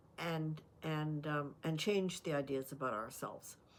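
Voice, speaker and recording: A woman with a Canadian accent speaks in a very deep, low voice. Her pace is fairly slow and her intonation fairly even. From Canada. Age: 80s+. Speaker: life advice vlogger. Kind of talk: talking-head advice monologue. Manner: unscripted, many fillers and restarts.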